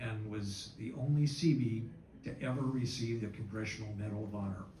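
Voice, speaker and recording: A man's fairly low pitch at a moderate pace, fairly even intonation, audible room echo and noticeable background noise. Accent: American. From United States. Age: 70s. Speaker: war veteran. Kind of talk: speech. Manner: halting.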